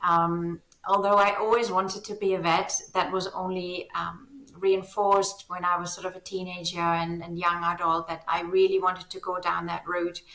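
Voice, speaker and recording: A woman talks at a moderate pace with a fairly low pitch and flat, monotone intonation. Noticeable background noise runs behind her. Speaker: veterinarian, founder of online surgical training platform. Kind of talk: interview conversation. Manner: many fillers, hesitant.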